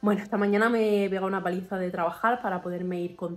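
Her pitch is in the medium range. This woman speaks at a very fast pace. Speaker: vlogger. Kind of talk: casual vlog talk to camera. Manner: speaking very quietly. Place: home room. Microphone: phone near.

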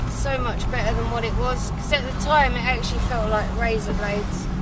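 A woman speaks in a dry recording with no echo, over loud background noise. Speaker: vlogger driving. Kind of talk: casual vlog chat. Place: car. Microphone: camera far.

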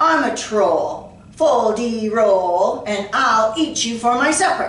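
Someone drags out a put-on character voice at a very slow pace, with a slight echo around it. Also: woman, fairly high pitch for a woman. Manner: bellowing, menacing.

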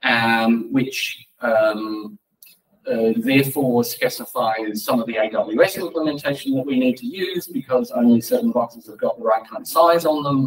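A man's voice at medium pitch, with big pitch swings and a slightly husky edge. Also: moderate pace.

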